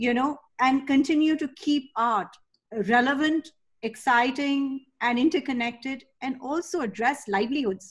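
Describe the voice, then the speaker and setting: The background is quiet as a woman speaks at a fairly slow pace. Her voice is high, with ordinary pitch variation. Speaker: webinar organizer and host; host. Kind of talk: webinar introduction. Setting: video call. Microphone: webcam.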